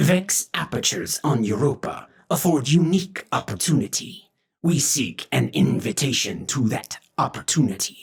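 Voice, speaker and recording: A man puts on a character voice, pitched fairly high. He keeps a moderate pace. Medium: read story. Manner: formal, stilted, speaks of himself in third person.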